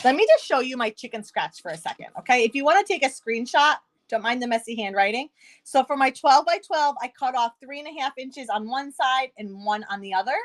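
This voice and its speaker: An animated tone with lively intonation and a New York accent, at a fairly quick pace, in a dry, close sound with no echo. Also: woman. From upstate New York. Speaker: craft demonstrator. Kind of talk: live-streamed craft tutorial. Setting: live stream.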